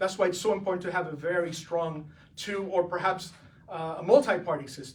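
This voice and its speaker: A man talks at a fairly quick pace with a high pitch and ordinary pitch variation. Some room echo is audible. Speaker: political candidate for comptroller. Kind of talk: press conference.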